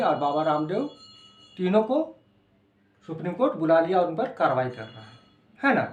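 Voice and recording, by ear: A man speaks with lively intonation. Audible room echo is present.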